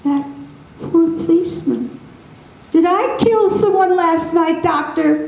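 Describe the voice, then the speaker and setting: A woman in a put-on character voice, extremely high-pitched and fairly slow, with long, frequent pauses and a slight echo. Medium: read story. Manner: timid, fearful.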